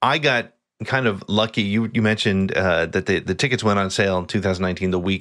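A man with an American accent, fairly low in pitch, bright and sharp in tone, with ordinary pitch variation, over a quiet background. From New Jersey. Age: 50s. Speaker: podcaster. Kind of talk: casual chat.

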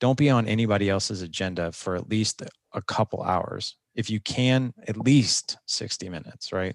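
Against a quiet background, an unremarkable speaking voice proceeds at a moderate pace with ordinary pitch variation. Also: man, fairly low pitch for a man. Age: 40s. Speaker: podcaster and fathers' coach. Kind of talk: interview conversation.

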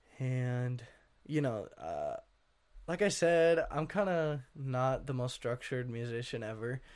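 With an American accent, a man has an unremarkable speaking voice at a medium pitch with ordinary pitch variation. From Washington state, US. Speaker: musician. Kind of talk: interview.

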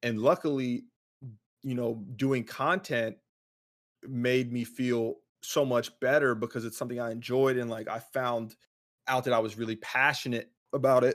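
A man speaks at a medium pitch and moderate pace, with fairly even intonation and long, frequent pauses. The recording is very clean, with a silent background. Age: 20s. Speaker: professional esports player. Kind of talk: casual chat. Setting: livestream.

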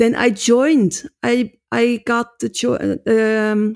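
Here a woman with a Dutch accent has a fairly high pitch, a dark, mellow tone and fairly even intonation. The sound is dry and close with no echo, and the recording is very clean over a silent background. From Netherlands. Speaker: drumming teacher and author. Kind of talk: interview. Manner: halting non-native English.

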